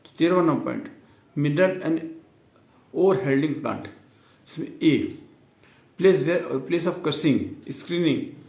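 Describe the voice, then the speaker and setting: Long, frequent pauses break up a man's speech, which has a high pitch and lively intonation. Room echo is audible. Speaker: teacher. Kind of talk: tutorial. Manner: slow, with pauses.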